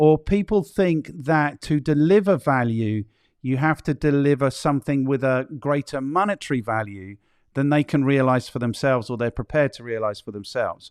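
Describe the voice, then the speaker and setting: An ordinary speaking voice, a man's with fairly high pitch and lively intonation, moves at a moderate pace in a dry, close sound with no echo. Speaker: podcast host. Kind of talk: casual interview conversation.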